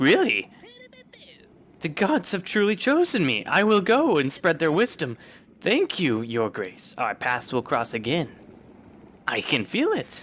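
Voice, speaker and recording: A man performs a high-pitched put-on character voice at a fairly slow pace, with long, frequent pauses. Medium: role play.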